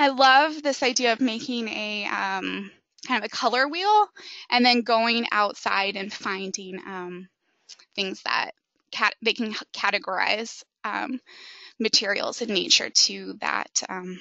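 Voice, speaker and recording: Speaking at a fairly slow pace, a woman with an unremarkable speaking voice keeps her fairly high pitch at ordinary variation. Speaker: social work graduate student presenter. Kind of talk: webinar presentation. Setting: online webinar. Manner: many filler ums.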